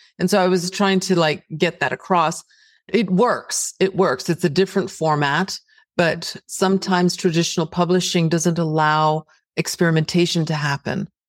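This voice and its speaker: With an American accent, a woman speaks in an unremarkable speaking voice, fairly low in pitch, at a moderate pace and very even loudness, in a very clean recording with a silent background and a dry, close sound with no echo. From Texas (El Paso), raised partly in Greece. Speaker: novelist. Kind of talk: interview.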